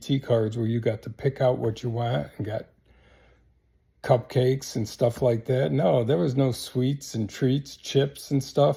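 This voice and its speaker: Somewhat breathy, dark, mellow male voice with an American accent at a fairly slow pace, in a very clean recording with a silent background. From US small town. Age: 70s. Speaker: military veteran. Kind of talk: casual monologue. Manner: halting.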